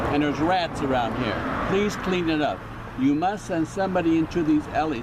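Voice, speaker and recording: A man with an American accent speaks at a moderate pace in a fairly high pitch with ordinary variation. The audio carries audible room echo and noticeable background noise. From New York. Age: 70s. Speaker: local resident. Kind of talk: complaint on camera. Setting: outdoors.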